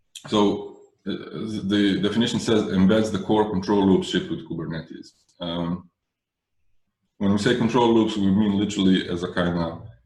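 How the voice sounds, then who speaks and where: Audible room echo surrounds a man who speaks at a fairly low pitch with fairly even intonation. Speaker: Kubernetes trainer. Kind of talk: technical workshop lecture. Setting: video call webinar. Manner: fast.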